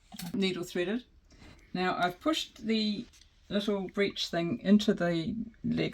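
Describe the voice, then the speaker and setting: A soft-spoken woman talks at a moderate pace and medium pitch with vocal fry and ordinary pitch variation. The recording is very clean, with a silent background. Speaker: miniaturist. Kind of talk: tutorial. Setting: home studio. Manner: casual.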